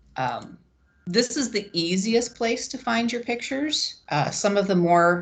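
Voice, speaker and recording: Over a quiet background, a woman is speaking. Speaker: webinar presenter for educators. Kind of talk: tutorial. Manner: hesitant, many fillers (um).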